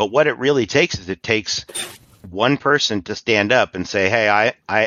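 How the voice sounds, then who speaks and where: A man talks at a fairly quick pace with ordinary pitch variation. He has a West Coast American accent. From Hawaii. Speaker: cannabis advocacy nonprofit director. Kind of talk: interview.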